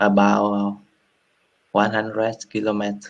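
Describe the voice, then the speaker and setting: A man speaks with a Vietnamese accent. His pitch sits fairly low. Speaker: English learner. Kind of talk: casual conversation practice. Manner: halting, many hesitations.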